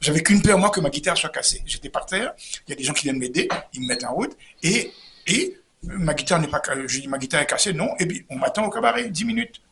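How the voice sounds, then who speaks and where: Pitched high, a man races along at a very fast pace. His pitch swings very widely. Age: 70s. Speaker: comedian. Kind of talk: interview storytelling. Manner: animated; halting, repetitive.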